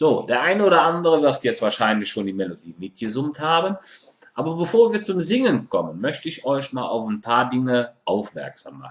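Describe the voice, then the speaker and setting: This man talks at a moderate pace in a fairly high pitch, his voice making very wide pitch swings. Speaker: Kölsch dialect teacher. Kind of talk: online language lesson. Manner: casual, friendly.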